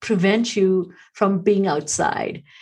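The woman's voice has a somewhat breathy sound. She speaks at a fairly slow pace. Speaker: podcast host. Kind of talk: interview conversation.

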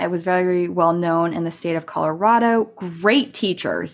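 A woman with a plain, everyday voice at a medium pitch, ordinary pitch variation and a moderate pace, in a very clean recording with a silent background. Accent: American. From California. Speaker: podcast host and business tech mentor. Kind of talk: personal storytelling monologue. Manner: casual, conversational.

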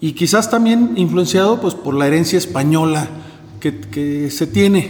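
Lively intonation comes through amid audible room echo and noticeable background noise. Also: man. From northern Mexico (Monclova, Coahuila). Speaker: winemaker. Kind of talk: interview.

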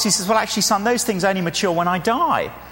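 An animated man's voice over noticeable background noise. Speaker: preacher. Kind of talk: sermon. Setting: church. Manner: animated, humorous.

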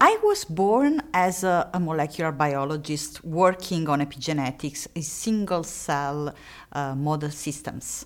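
In an Italian accent, a woman speaks with a very deep, low pitch and ordinary pitch variation. Her pace is fairly slow. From Italy. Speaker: researcher and lecturer. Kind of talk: interview. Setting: recorded at a conference. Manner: halting, many fillers.

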